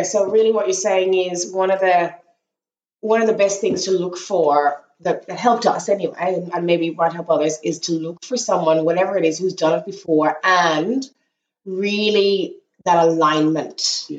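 The woman uses a normal speaking voice, pitched in the medium range. Her delivery runs at a moderate pace, with ordinary pitch variation. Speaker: sheep farmer and podcast host. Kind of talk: casual chat.

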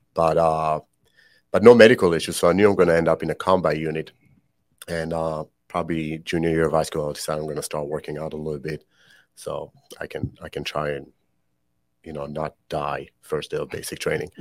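A man with a very deep, low pitch moves at a fairly quick pace. Long, frequent pauses break up his speech, and his loudness swings widely. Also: fairly even intonation. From Israel. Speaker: podcast host, military veteran. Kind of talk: personal confession. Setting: studio.

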